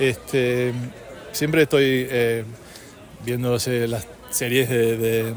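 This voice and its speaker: Very slow and marked by long, frequent pauses, the speech comes in a monotone, flat intonation with an Argentine accent, over audible room echo and noticeable background noise. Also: man, medium pitch for a man. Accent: native-like Argentine Spanish. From California. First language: English (speaking Spanish). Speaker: polyglot. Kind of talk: interview. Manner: halting, many fillers.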